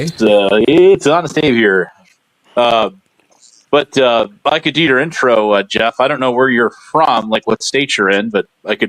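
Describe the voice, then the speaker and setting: A man talks at a moderate pace with medium pitch, lively intonation and very even loudness. The sound is dry and close, with no echo. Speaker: caller joining a live stream. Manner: friendly, hesitant with fillers.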